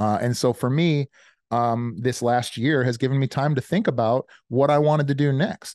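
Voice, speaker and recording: In a dry, close sound with no echo and a quiet background, a man with an American accent speaks at medium pitch in a dark, mellow tone with ordinary pitch variation. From Chicago. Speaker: business coach and army veteran. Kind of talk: casual interview.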